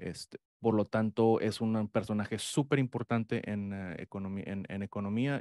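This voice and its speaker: In a dark, mellow tone and a fairly low voice, a man speaks at a moderate pace with fairly even intonation, the sound dry with no echo against a quiet background. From Mexico. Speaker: economics professor; guest. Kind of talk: interview. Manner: halting. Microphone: studio mic.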